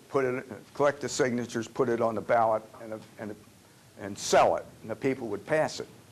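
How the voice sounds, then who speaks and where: Amid noticeable background noise, a man talks with a medium pitch and fairly even intonation. His loudness swings widely, and his pauses are long and frequent. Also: fairly quick pace. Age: 80s+. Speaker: panelist, term limits campaigner. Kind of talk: panel Q&A at workshop. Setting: restaurant meeting room with audience. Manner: halting, many fillers.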